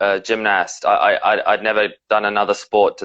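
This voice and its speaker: A man speaks with a slight British accent. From South Africa and England. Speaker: professional wrestler. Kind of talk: interview. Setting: live stream video call.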